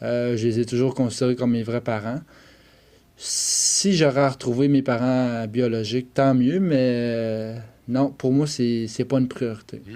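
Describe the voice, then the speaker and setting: A man with a Quebec accent, medium pitch and fairly even intonation, at a fairly slow pace with very even loudness. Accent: Québécois French. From Quebec, Eastern Townships (Bromptonville). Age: 30s. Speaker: adoptee telling his story. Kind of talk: personal testimony. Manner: hesitant, frequent 'euh'.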